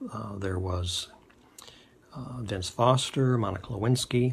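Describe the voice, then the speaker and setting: A somewhat breathy male voice, fairly slow in pace, with fairly even intonation. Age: 60s. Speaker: political testimonial speaker. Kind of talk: personal testimony. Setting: self-recorded video. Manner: halting, many fillers.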